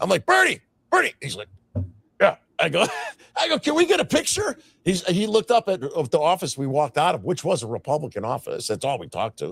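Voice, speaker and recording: A man with an American accent talks at a very fast pace in a dry, close sound with no echo. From Chicago. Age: 60s. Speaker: activist guest. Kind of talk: podcast interview. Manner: halting, repetitive.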